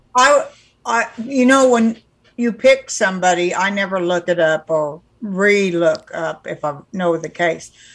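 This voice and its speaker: In an unremarkable speaking voice with an American accent, a woman talks at a fairly slow pace and medium pitch with lively intonation. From California. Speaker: podcast co-host. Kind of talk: casual chat.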